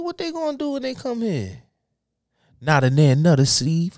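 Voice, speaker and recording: The speaker has an animated tone and big swings in loudness at a moderate pace. It's a very clean recording with a silent background. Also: man. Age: 20s. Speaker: podcast co-host. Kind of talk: casual chat.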